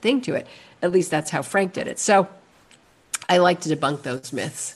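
This woman has a plain, everyday voice, pitched fairly low, and she talks at a moderate pace. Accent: American. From New York City (Manhattan). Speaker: actress and comedian. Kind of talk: casual chat.

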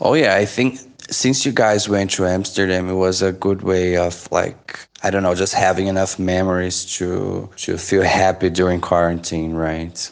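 In a Portuguese accent, a man speaks with a very deep, low pitch at a moderate pace. Intonation is fairly even and loudness very even. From Brazil. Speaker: podcast co-host, language teacher. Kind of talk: casual chat.

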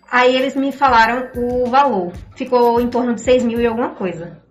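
Audible room echo surrounds a woman speaking at a moderate pace in a high pitch. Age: young. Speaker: young writer, university student. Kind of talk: radio interview.

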